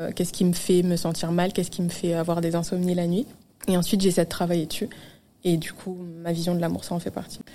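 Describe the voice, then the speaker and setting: Speaking at a fairly quick pace, a woman has a fairly low, dark and mellow voice with a monotone, flat delivery. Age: 20s. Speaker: social media manager. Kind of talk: casual chat.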